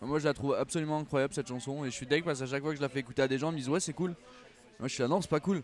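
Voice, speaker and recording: The man's pitch is fairly high, with fairly even intonation. He talks very fast. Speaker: musician. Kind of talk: casual chat. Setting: outdoors.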